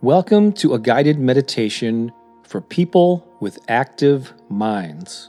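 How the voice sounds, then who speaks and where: Over music in the background, a man talks at a very slow pace with a medium pitch and very wide pitch swings. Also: dry, close sound with no echo. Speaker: meditation guide. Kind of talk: casual talk to camera.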